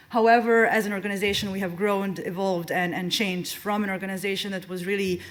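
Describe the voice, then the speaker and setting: A woman at medium pitch talks at a fairly quick pace with monotone, flat intonation. There is audible room echo along with noticeable background noise. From Serbia, Belgrade. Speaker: conservation organization policy expert. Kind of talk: conference presentation. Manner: fast.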